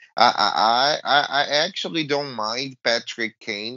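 A man speaks with a Portuguese accent. His pitch varies in an ordinary way. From Brazil. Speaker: hockey podcast co-host. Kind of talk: casual sports chat.

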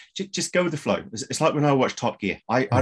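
Here a man speaks. Little else is heard in the quiet background. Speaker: show host. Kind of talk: casual introduction to webinar audience. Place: home room. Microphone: video call.

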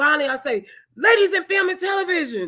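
A woman speaks in a raised, projected voice with an animated tone. The background is quiet. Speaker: online talk show host, film organization founder. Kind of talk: live-streamed interview. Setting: video call livestream.

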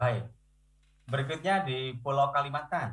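Against a quiet background, a man's voice shows ordinary pitch variation. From Indonesia, East Java. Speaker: university lecturer. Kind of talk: online lecture. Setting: video call. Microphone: video call.

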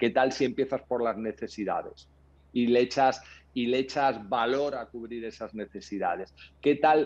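An unremarkable speaking voice from a man, medium in pitch, fairly slow and fairly even in intonation. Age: 50s. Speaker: entrepreneur; podcast guest. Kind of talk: interview. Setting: video call. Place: home room. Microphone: earbuds.

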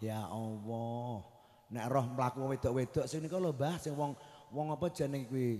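At a moderate pace, a man speaks in a medium pitch with a dark, mellow tone and ordinary pitch variation against a quiet background. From Central Java, Kudus; Central Java. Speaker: Islamic preacher. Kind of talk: sermon. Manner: animated. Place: stage. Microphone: handheld.

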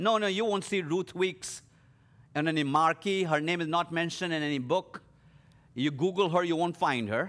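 With ordinary pitch variation, a man talks at a moderate pace in a high pitch. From India. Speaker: leadership speaker. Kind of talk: sermon. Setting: live stream to a church audience. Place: studio. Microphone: headset.

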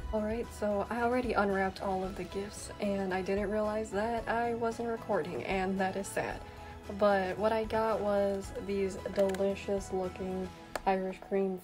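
Clear music plays in the background as a woman talks at a fairly slow pace with fairly even intonation. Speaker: vlogger. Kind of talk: casual vlog chat. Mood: cheerful, relaxed. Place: home room. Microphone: phone near.

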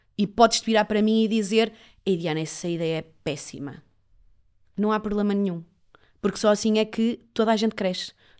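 A woman speaks at a fairly quick pace in a medium pitch, with ordinary pitch variation and an unremarkable speaking voice. The recording is very clean, with a silent background. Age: 30s. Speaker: reporter and TV presenter, agency owner. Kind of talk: interview conversation.

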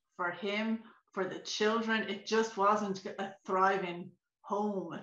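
Her intonation stays monotone and flat over a quiet background. Audible room echo surrounds the woman's voice. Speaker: remote interview guest. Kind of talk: interview answer. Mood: reflective, personal. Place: home room. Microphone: video call.

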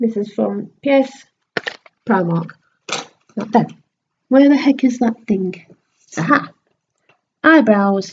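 At a very slow pace with long, frequent pauses, a woman speaks in a fairly high, somewhat breathy voice with lively intonation over light background noise. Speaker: beauty vlogger. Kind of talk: makeup tutorial vlog. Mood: casual, a bit distracted. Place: home room. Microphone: webcam.

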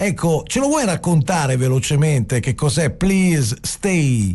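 A man's voice has a dark, mellow tone and a fairly high pitch. He speaks at a fairly slow pace with lively intonation. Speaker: radio host. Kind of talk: radio interview. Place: studio.

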